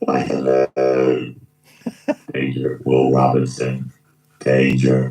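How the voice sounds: Using a put-on character voice, a man speaks with a very deep, low pitch at a very slow pace, leaving long, frequent pauses.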